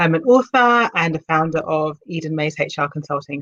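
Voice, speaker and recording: A woman's very deep, low voice with a British accent. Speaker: HR consultant and leadership coach. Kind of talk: casual interview.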